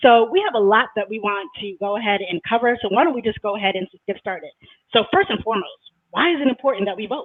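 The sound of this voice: A woman with a slightly husky edge talks fast at a medium pitch. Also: ordinary pitch variation.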